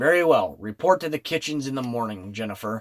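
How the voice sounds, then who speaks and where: A man does a put-on character voice with lively intonation at a fairly quick pace, recorded dry and close with no echo. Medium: read story. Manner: mild, dryly amused.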